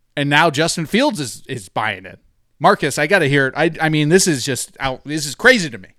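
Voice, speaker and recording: A man talks at a fairly quick pace, his fairly high voice bright and sharp with vocal fry and lively intonation. The recording is very clean, with a silent background. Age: 30s. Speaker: sports betting podcast host. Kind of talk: casual chat. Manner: animated.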